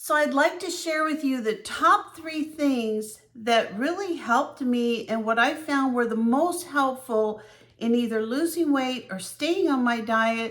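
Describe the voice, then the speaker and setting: A woman's high voice rises and falls with lively intonation as she talks fairly slowly. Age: 60s. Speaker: vlogger. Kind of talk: personal vlog. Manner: conversational.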